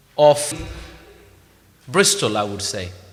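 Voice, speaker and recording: Someone speaks very slowly with a Bengali accent. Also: man. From Bangladesh. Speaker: mayor. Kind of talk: formal speech at event.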